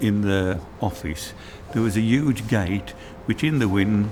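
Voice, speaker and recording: A man's fairly low voice carries audible room echo, with noticeable noise in the background. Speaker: retired factory worker. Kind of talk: interview testimony. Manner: halting.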